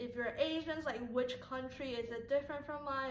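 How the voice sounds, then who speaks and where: A woman with a high voice speaks at a moderate pace and with fairly even intonation, with audible room echo. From Taiwan. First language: Mandarin Chinese. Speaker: YouTuber. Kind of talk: casual vlog talk to viewers.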